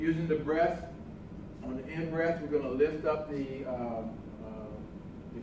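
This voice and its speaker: At a moderate pace, someone speaks with noticeable background noise and audible room echo. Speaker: tai chi instructor. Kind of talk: tutorial. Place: hall. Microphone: camera far.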